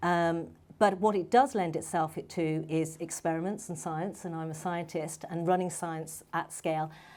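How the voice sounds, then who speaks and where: A dark, mellow voice in a London accent moves at a moderate pace with fairly even intonation. The recording is very clean, with a silent background. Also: woman. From London, England. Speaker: medical doctor and startup founder. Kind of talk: panel talk. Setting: stage with audience.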